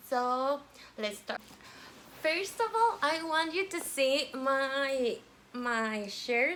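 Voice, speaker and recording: Amid noticeable background noise, a woman with a high pitch speaks very slowly, taking long, frequent pauses as her pitch swings very widely. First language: Spanish. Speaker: vlogger. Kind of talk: casual vlog chat. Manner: halting, many fillers.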